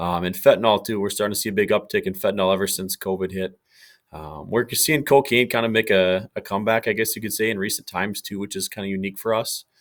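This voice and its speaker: Speaking very fast in a fairly low pitch, a man with a Minnesotan accent keeps his intonation fairly even on a very clean recording with a silent background. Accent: Minnesota. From Minnesota, small town. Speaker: police K9 handler. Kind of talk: podcast interview.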